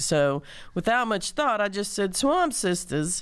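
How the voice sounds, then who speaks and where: This is a very clean recording with a silent background. The woman heard on it has a Southern US accent. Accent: southern drawl. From Mississippi, US South. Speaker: singer-songwriter and community organizer. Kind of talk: interview conversation. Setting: studio.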